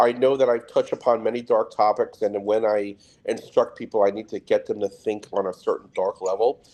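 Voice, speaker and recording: This man talks at a fairly quick pace with a New York accent. His pitch varies in an ordinary way. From Trinidad and Tobago, West Indies. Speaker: security specialist. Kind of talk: interview. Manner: fast.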